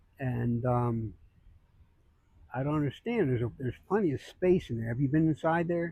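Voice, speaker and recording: A man's voice comes through with a dark, mellow tone and is somewhat breathy. He leaves long, frequent pauses. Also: lively intonation, moderate pace. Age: 70s. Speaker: homeless man interviewed on the street. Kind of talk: street interview. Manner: halting.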